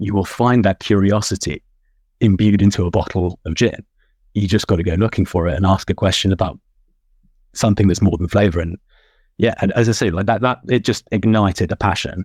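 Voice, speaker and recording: A man's fairly low voice in a British accent with fairly even intonation, dry and close with no echo, on a very clean recording with a silent background. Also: fairly quick pace. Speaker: gin judge and consultant. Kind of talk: podcast interview. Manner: halting, many fillers and repetitions.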